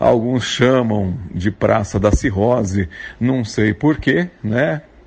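Very slowly, a man talks in a medium pitch. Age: 40s. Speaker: actor and announcer. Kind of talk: recorded guest segment.

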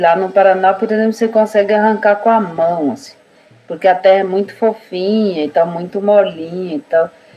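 Against noticeable background noise, a woman talks at a fairly quick pace, her medium pitch held in fairly even intonation. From Brazil, Guarani village in southern São Paulo. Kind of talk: casual interview conversation.

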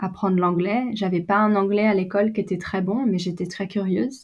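The background is quiet. A woman speaks at a medium pitch in a somewhat breathy voice. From France, Brittany. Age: 20s. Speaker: photographer and video producer. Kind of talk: casual interview. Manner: hesitant, many fillers.

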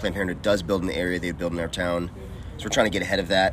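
The speaker has an American accent. Audible room echo and noticeable background noise fill the clip. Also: man. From US South. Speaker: podcast host. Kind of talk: casual chat.

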